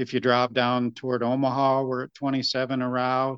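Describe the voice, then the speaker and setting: A man talks at a medium pitch with an American accent. The background is quiet. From upstate New York. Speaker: state wildlife biologist. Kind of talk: interview.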